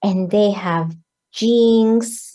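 At a very slow pace, a woman speaks with a dark, mellow tone and medium pitch. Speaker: entrepreneur and blogger. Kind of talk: interview. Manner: animated.

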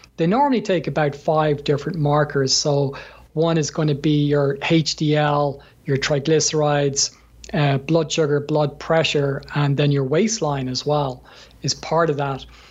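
A man with an Irish accent speaks at a moderate pace and a fairly high pitch. His voice is somewhat breathy, with very even loudness and fairly even intonation. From Ireland. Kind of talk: interview, conversational.

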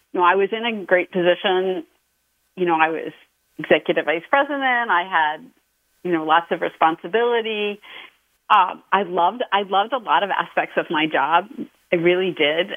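A woman's medium-pitched voice at a moderate pace, with ordinary pitch variation and long, frequent pauses. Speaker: novelist. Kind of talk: interview.

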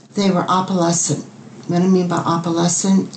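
Over noticeable background noise, a woman speaks at a fairly low pitch. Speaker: angel painter. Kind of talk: personal testimony. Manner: hesitant, halting.

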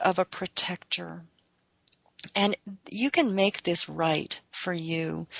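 A woman's soothing tone at a very slow pace. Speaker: radio show host. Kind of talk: self-help radio talk on meditation. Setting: internet talk radio studio. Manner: slow, calming and soothing.

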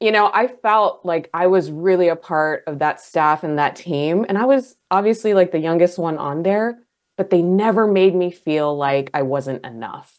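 An unremarkable speaking voice belongs to a woman with a fairly low pitch and lively intonation. She keeps a moderate pace with hardly any pauses. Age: 40s. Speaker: life coach. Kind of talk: interview.

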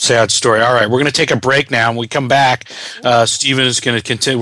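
A man talks over noticeable background noise. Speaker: radio host. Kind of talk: radio interview, host. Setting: radio show. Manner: conversational, welcoming.

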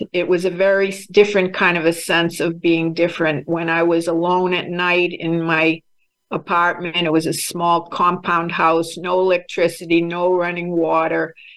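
In an American accent, a woman speaks with fairly low pitch and a monotone, flat intonation. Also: moderate pace. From Boston. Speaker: psychotherapist. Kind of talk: panel discussion.

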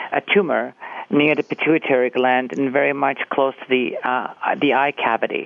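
Noticeable background noise surrounds a man who is speaking. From Cyprus, then Canada from age 11. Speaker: actor and theatre teacher, family caregiver. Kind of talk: interview. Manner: halting, many fillers.

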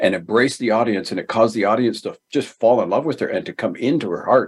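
This man uses a normal speaking voice. He keeps a medium pitch and shows ordinary pitch variation. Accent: Canadian. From Ontario, Canada (Galt). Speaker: author and speaker. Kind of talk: interview.

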